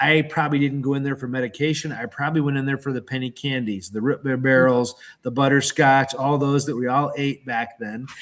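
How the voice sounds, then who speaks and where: Spoken with an American accent, the voice moves at a fairly quick pace with hardly any pauses and a fairly even intonation. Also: man, medium pitch for a man. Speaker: health product seller hosting livestream. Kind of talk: sales pitch.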